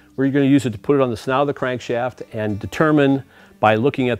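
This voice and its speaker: A man speaks at a very fast pace. Faint music plays in the background. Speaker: car show host. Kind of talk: tutorial. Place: garage.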